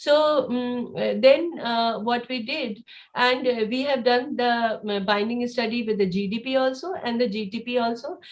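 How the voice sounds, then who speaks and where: A woman speaks in a high voice. Her words carry audible room echo. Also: ordinary pitch variation. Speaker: cancer researcher presenting lab work. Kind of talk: conference presentation. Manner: fast; halting, many fillers.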